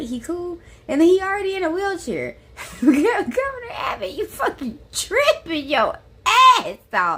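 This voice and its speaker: With an American accent, a woman projects a raised voice at a fairly slow pace, her pitch swinging very widely against noticeable background noise. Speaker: political commentary streamer. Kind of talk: casual reaction commentary.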